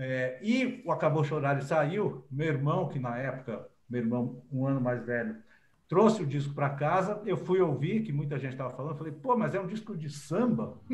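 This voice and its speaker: Somewhat breathy, a man talks with lively intonation while audible room echo surrounds him. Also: fairly high pitch for a man, moderate pace. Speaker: journalist and writer. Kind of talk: interview.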